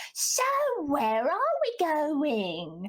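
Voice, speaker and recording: A put-on character voice at a high pitch. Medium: actual play. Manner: teasing, sardonic.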